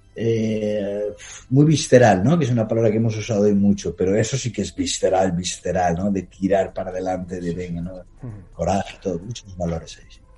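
The man's voice is somewhat breathy with a dark, mellow tone, moving at a fairly quick pace and showing ordinary pitch variation. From Spain, Palencia. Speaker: travel documentary filmmaker. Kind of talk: interview.

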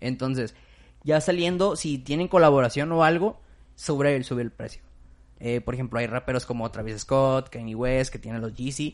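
With a normal speaking voice, a man talks at medium pitch with ordinary pitch variation. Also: moderate pace. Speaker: podcast host. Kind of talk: casual chat.

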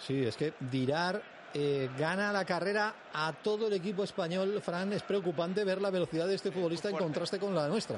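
A high-pitched man with a Madrid accent speaks in an animated tone at a fairly quick pace, with ordinary pitch variation and very even loudness. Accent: Peninsular Spanish (Madrid). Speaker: radio sports presenter. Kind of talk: live radio match presentation and studio commentary. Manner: animated, fluent.

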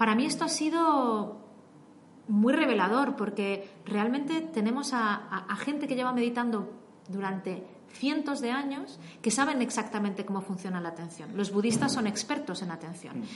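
Amid noticeable background noise and audible room echo, a woman speaks at a moderate pace in a fairly high pitch with lively intonation. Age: 30s. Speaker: investigative data journalist. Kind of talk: interview.

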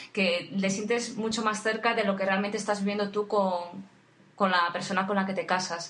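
A woman speaks at a moderate pace and medium pitch, her intonation monotone and flat. There is audible room echo and noticeable background noise. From Spain, Asturias (Oviedo). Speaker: podcast co-host, wedding photographer. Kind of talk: casual chat.

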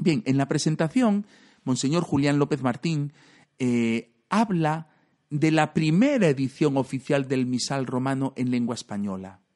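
With a normal speaking voice, a man talks at a fairly slow pace and fairly high pitch, his intonation lively, in a dry, close sound with no echo. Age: 40s. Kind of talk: podcast monologue.

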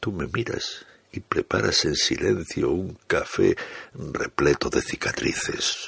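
A man talks at a very slow pace. His voice sounds dry and close, with no echo. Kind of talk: poetry reading.

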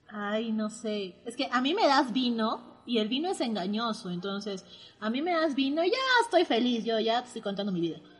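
A woman with a fairly high pitch talks against noticeable background noise. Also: moderate pace. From Peru, Arequipa. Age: 20s. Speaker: podcast host, architect. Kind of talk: casual chat. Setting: remote recording from separate locations.

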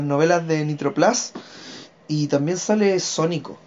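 A man speaks at a fairly slow pace with a fairly high pitch. His intonation stays fairly even. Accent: Chilean. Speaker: podcast co-host, illustrator. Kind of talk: casual chat.

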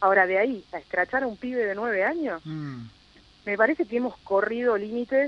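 At a moderate pace, the voice makes very wide swings in pitch. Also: woman. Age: 40s. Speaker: local politician. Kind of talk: radio interview.

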